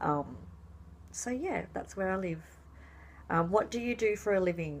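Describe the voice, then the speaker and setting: A woman with an Australian accent. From Australia, rural New South Wales. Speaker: fabric dyer and craft vlogger. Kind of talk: casual vlog talk.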